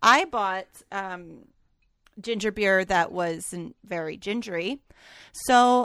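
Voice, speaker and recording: A woman speaking at a very slow pace with ordinary pitch variation, on a very clean recording with a silent background. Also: dry, close sound with no echo. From Canada, Alberta. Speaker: podcast co-host. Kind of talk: casual chat.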